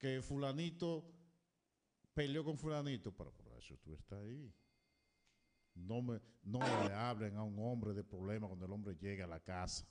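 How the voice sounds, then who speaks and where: A man's fairly low voice at a moderate pace, with lively intonation, big swings in loudness and long, frequent pauses. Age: 50s. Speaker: radio co-host. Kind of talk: casual chat.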